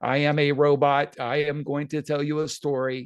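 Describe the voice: A man's put-on character voice, fairly high in pitch and flat and monotone in intonation. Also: moderate pace.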